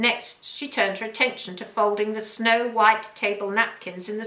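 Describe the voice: Someone reads the words out plainly.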